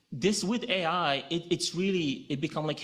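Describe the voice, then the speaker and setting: On a very clean recording with a silent background, a man speaks with a Moroccan accent. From Morocco. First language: Moroccan Arabic. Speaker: legal technology director. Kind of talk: conference presentation.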